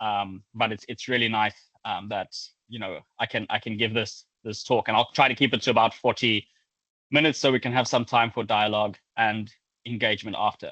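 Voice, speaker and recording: With a South African accent, the speaker uses a bright, sharp tone and fairly even intonation at a fairly quick pace, in a dry, close sound with no echo. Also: man, medium pitch for a man, quiet background. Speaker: academic researcher. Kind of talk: lecture. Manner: halting, with frequent repetitions.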